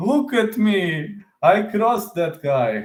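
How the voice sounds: A man puts on a character voice pitched high, with big pitch swings. He talks at a very slow pace.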